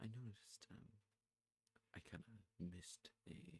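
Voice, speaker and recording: A soft-spoken man talks at a very slow pace and a fairly low pitch. His voice is somewhat breathy. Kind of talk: ASMR rambling talk about music. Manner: soft-spoken, rambling.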